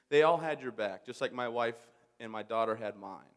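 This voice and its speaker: Pitch varies in an ordinary way as the words come fairly quickly. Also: man. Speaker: war veteran and commencement speaker. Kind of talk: commencement speech. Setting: stage with audience. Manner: fast.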